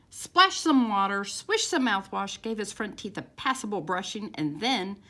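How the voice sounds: A natural reading voice with lively, bouncing intonation.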